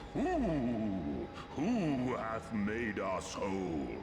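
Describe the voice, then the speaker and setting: Putting on a character voice at a medium pitch, a man is heard with a clear echo and loud background noise. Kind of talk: archaic epic speech. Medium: game stream. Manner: grandiloquent, archaic.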